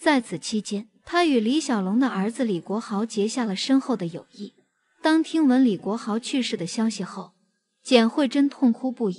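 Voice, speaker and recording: A woman's unremarkable speaking voice, fairly high in pitch, with lively intonation and a moderate pace. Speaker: entertainment video narrator. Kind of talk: scripted narration.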